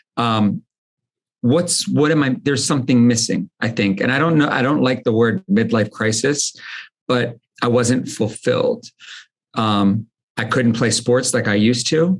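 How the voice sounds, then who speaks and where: An ordinary speaking voice with an American accent, delivered at a fairly slow pace. Loudness stays very even throughout. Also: man, medium pitch for a man, ordinary pitch variation. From United States. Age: 40s. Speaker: entrepreneur, supplement company founder. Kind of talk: podcast interview, casual chat.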